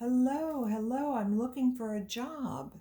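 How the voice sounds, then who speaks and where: A put-on character voice, female-sounding and high-pitched, moves at a fairly slow pace. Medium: read story.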